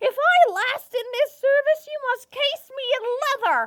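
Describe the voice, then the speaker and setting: Someone does a put-on character voice at an extremely high pitch and a moderate pace. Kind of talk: Shakespeare stage play performance.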